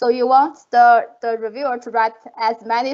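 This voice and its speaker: The speaker has a non-native accent. The pace is moderate and the intonation fairly even. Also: woman. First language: not English. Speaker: professor, panelist. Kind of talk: panel discussion. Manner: halting, many fillers.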